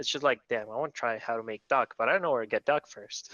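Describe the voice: A man at a fast pace, fairly bright in tone, with a dry, close sound and no echo. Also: medium pitch for a man, ordinary pitch variation.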